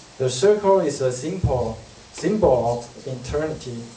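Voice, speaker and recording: A man with ordinary pitch variation over noticeable background noise. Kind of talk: read-aloud class presentation. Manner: halting, with self-corrections.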